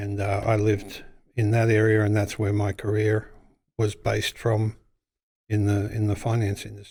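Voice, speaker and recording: A man's fairly low, somewhat breathy voice with an Australian accent, dark and mellow in tone, flat and monotone in intonation, at a moderate pace, on a very clean recording with a silent background. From Australia, Western Sydney. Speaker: business owner. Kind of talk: casual interview.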